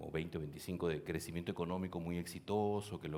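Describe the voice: A man speaks fairly quickly in a low voice, his tone slightly mellow and his intonation fairly even.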